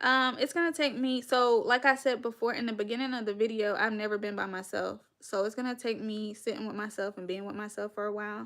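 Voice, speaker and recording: Talking very fast with hardly any pauses, a woman with an American accent speaks at a fairly high pitch. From North Carolina, Winston-Salem. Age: 30s. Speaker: live-stream podcast host. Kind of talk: casual live-stream chat. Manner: animated.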